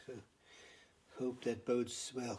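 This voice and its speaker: A man's medium-pitched, somewhat breathy voice with a dark, mellow tone, at a fairly slow pace. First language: not English. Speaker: hobby machinist. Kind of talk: workshop tutorial. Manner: halting, many fillers.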